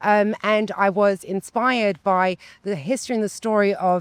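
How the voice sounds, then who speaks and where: In an English accent, a woman talks at a medium pitch. The sound is dry and close with no echo, on a very clean recording with a silent background. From London, England. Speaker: community organization founder. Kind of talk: casual interview chat.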